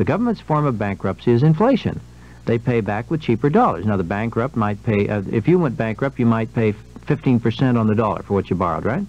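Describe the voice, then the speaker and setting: A man at a very fast pace, lively intonation, dry sound with no echo. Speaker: radio guest. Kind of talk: interview answer. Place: studio.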